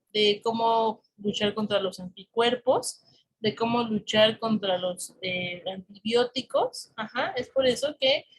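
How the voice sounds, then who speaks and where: The delivery moves at a very slow pace, with ordinary pitch variation. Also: woman. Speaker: biology teacher for exam prep course. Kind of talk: online class lecture.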